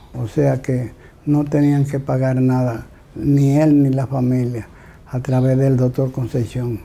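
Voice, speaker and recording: A man speaks at a very slow pace. His medium-pitched voice is monotone and flat. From Dominican Republic. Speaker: local historian. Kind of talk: historical account. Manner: halting. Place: home room. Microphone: lapel.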